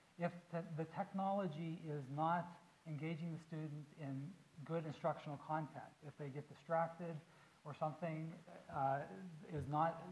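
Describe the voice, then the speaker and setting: Intonation stays fairly even while the pace remains moderate. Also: man. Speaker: education technology researcher. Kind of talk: panel talk. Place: stage. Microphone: lapel.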